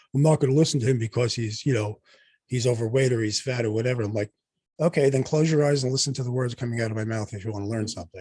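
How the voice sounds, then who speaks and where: A man's very fast, somewhat breathy speech at medium pitch, dark and mellow in tone, with fairly even intonation, a dry, close sound without echo and a quiet background. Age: 60s. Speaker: doctor and podcast host. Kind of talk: casual chat.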